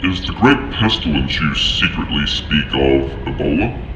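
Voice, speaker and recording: A man performs a put-on character voice at a moderate pace. There is clear echo and loud background noise. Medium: audio drama. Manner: formal, clinical.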